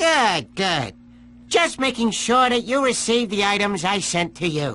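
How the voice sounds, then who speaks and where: A put-on character voice sits at a fairly high pitch. Clear background noise runs behind it. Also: fairly slow pace. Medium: video game. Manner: theatrical, gloating.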